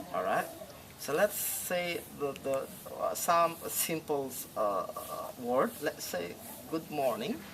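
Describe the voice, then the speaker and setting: Very slow speech in a Balinese accent, broken by long, frequent pauses, over noticeable background noise. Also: man. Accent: Indonesian (Balinese). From Bali, Indonesia. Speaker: tour guide. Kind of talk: interview answer.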